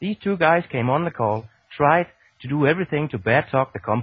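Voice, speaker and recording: With very wide pitch swings, a man moves through his words at a fairly quick pace. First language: not English. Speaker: network marketing promoter. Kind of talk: conference call pitch. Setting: Skype call.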